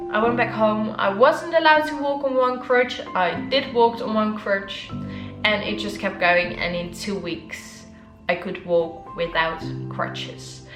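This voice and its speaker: A woman talks at a fairly slow pace over music in the background. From Netherlands, Amsterdam. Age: young. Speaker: wheelchair fencer; motivational speaker. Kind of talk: casual talk to camera.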